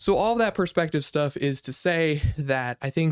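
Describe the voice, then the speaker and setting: Here a man is talking in a fairly high voice. He keeps his intonation fairly even. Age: 20s. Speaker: software engineer YouTuber. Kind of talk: casual channel update monologue. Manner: fast.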